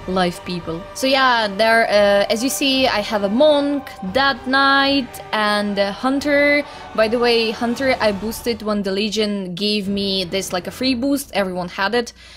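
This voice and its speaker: A woman at a fairly slow pace with ordinary pitch variation, music in the background. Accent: Russian. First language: Russian. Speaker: gaming YouTuber. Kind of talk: casual chat. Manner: animated.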